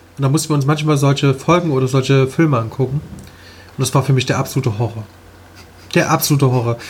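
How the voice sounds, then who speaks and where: Speaking at a very fast pace, a man keeps his intonation fairly even and his loudness very even, with long, frequent pauses. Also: medium pitch for a man. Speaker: podcast co-host. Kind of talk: casual chat. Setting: studio.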